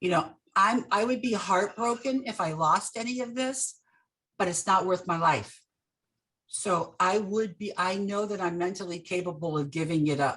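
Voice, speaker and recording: A woman talks with a plain, everyday voice at medium pitch. Her pace is moderate, with ordinary pitch variation. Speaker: real estate safety speaker, ex-police officer. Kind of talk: presentation. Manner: casual.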